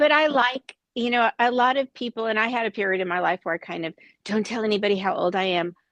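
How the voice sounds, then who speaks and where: Talking very fast with an American accent, a woman uses a fairly high pitch and ordinary pitch variation, recorded dry and close with no echo. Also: quiet background. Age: 60s. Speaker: anti-piracy company representative. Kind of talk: casual chat.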